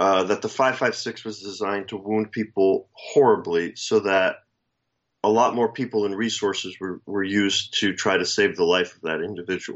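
A man talks with an unremarkable speaking voice, his pitch fairly low and his intonation fairly even, at a moderate pace. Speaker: co-host. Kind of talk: casual chat. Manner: wry, opinionated.

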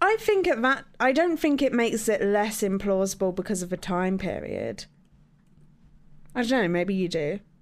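Speaking at a moderate pace and a medium pitch, a woman uses lively intonation.

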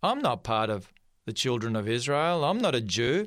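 With an Australian accent, a man speaks in lively intonation on a very clean recording against a silent background. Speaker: pastor. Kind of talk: sermon. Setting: studio.

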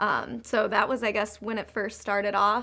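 A woman with a medium-pitched, bright, sharp voice and some vocal fry talks at a fairly quick pace with ordinary pitch variation. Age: 20s. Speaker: fashion business owner. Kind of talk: interview.

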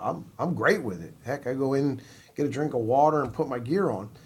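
A man talks at a moderate pace with an American accent. His voice has vocal fry. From New Jersey. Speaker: college baseball coach. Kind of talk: interview.

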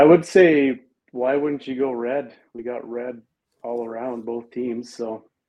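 A man with an ordinary speaking voice talks at a fairly slow pace in a medium pitch, his intonation fairly even but his loudness swinging widely. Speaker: truck and equipment dealer. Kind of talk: casual interview.

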